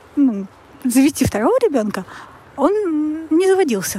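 Noticeable background noise sits behind this woman's voice. Her pitch swings very widely. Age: 30s. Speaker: listener sharing a story. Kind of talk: personal story.

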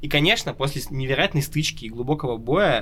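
A man's medium-pitched voice with a bright, sharp tone at a moderate pace. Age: 20s. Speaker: tabletop RPG podcast host and game master. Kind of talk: casual chat.

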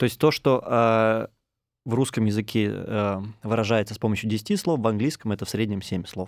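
At a moderate pace and medium pitch, a man speaks with fairly even intonation and an unremarkable speaking voice, on a very clean recording with a silent background. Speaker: podcast host. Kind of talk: interview. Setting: studio.

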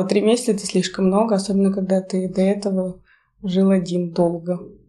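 A woman speaks at a fairly quick pace with a medium pitch. Her tone is dark and mellow, and her intonation is monotone and flat. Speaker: journalism graduate student. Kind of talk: casual chat.

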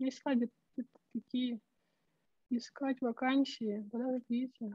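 Dry and close with no echo, a woman's high-pitched voice carries a dark, mellow tone at a moderate pace. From Siberia, Russia (Chita). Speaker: remote work speaker and specialist. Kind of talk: online talk / AMA presentation. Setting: video call.

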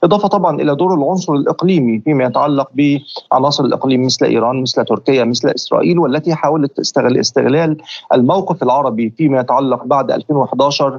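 A man with a fairly high voice talks at a fairly quick pace with ordinary pitch variation over noticeable background noise. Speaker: political analyst. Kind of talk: interview.

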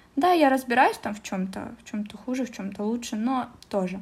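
Here a woman speaks with a high pitch. The recording is very clean, with a silent background. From Russia, Omsk. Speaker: translator and office specialist at a Korean firm. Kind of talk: casual interview.

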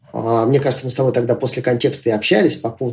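A man speaks with a dark, mellow tone. His voice sounds somewhat breathy. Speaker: entrepreneur and school teacher. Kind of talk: casual interview.

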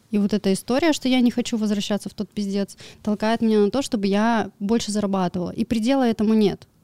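A woman speaks at a fairly quick pace in a medium pitch, her dark, mellow tone captured in a dry, close sound with no echo. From Siberia, Irkutsk region village. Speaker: crypto trader and blogger. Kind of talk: casual interview. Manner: animated.

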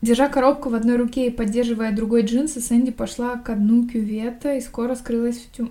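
A woman's high-pitched voice. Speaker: podcast host reading a novel aloud. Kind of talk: reading aloud; casual chat. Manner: no character voices in dialogue.

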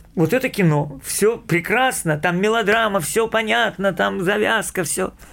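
The voice has a fairly bright tone and vocal fry, moving at a fairly slow pace with ordinary pitch variation. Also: man.

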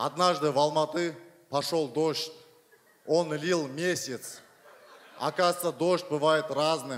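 Speaking at a very slow pace with long, frequent pauses, a man keeps his loudness very even in a fairly high pitch. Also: fairly even intonation. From Kazakhstan, Aksay. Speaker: screenwriter and TV host. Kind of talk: casual chat.

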